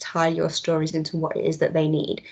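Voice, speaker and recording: A woman with a Mancunian accent, fairly low in pitch, at a fairly quick pace. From Manchester, northern England. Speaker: tech company trainer presenting skills resources. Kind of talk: online presentation with demo. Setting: video call. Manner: casual, with frequent fillers.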